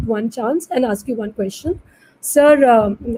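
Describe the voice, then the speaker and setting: With an Indian accent, a woman speaks in a high voice with ordinary pitch variation. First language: Hindi. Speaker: moderator. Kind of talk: panel discussion. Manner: formal.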